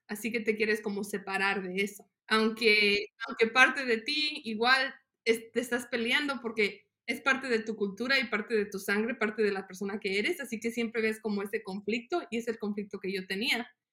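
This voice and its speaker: A woman speaks with a bright, sharp tone at a fairly high pitch. Her pace is moderate and her intonation fairly even. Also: hardly any pauses. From Mexico, Guanajuato, raised in US. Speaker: nonprofit worker for farmers. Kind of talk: interview.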